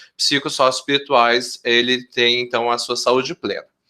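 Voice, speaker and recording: Here a man talks at a moderate pace in a medium pitch. His tone is bright and sharp. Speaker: professor, health researcher. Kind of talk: research group presentation.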